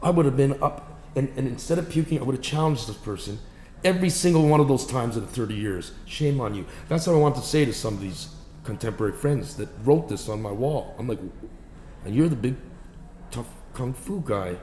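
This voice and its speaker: A man with a Canadian accent talks at a fairly quick pace with a medium pitch, lively intonation and long, frequent pauses, amid light background noise and audible room echo. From Canada. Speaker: actor. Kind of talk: interview. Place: home room.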